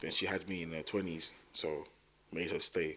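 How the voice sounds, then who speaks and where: A man is speaking. He has a South London accent. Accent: South London, multicultural London English. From South London (Thamesmead). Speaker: musician. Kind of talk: casual chat.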